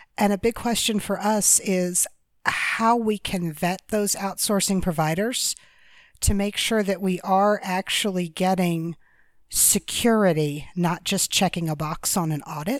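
In an American accent, a woman speaks fairly slowly at a medium pitch with ordinary pitch variation. It is an unremarkable speaking voice. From US, Denver area. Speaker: caller, healthcare nonprofit staff. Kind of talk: call-in question.

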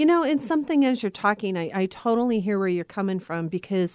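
A woman with a normal speaking voice at medium pitch uses lively intonation. The recording is very clean, with a silent background and a dry, close sound with no echo. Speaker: radio host. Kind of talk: radio dj patter: bubbly, chatty Halloween banter between segments. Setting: studio. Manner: bubbly, laughing and quick to cheer on guests, upbeat and warm.

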